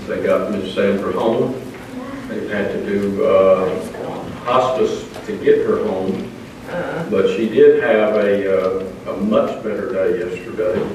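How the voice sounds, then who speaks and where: Against light background noise and strong room echo, a man speaks at a very slow pace. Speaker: Sunday school teacher. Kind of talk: church announcements and prayer requests. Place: church.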